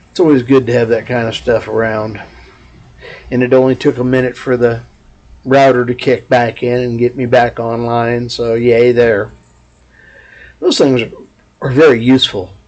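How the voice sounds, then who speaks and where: Someone with a Texas accent speaks in a flat monotone at a moderate pace, leaving long, frequent pauses. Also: man, medium pitch for a man. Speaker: vlogger. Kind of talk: casual vlog monologue. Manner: loud.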